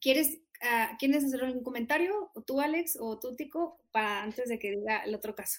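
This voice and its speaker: A woman's high voice moves at a moderate pace. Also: lively intonation. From Mexico, Monterrey. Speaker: nonprofit country manager. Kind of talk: interview.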